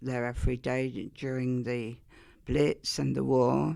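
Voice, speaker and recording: A woman speaks in a very deep, low voice with ordinary pitch variation. The recording is very clean, with a silent background. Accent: Essex. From Essex, England. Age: 80s+. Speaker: interviewee sharing childhood memories. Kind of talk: oral history interview.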